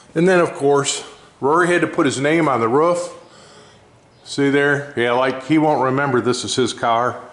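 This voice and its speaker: A man's fairly high-pitched voice at a moderate pace, with ordinary pitch variation, very even loudness and audible room echo. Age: 60s. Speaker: race car builder, shop owner. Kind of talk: casual shop walkaround vlog. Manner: casual, rambling with fillers.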